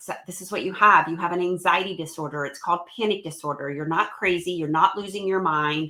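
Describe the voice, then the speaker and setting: The woman's voice sits at a fairly low pitch. Her tone is bright and sharp. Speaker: motivational speaker and happiness coach. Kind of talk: interview. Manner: fast; animated.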